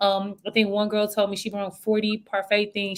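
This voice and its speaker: At a fairly quick pace, a woman with an American accent speaks at a medium pitch. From US South, Memphis, Tennessee. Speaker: event coordinator. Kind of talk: casual podcast interview.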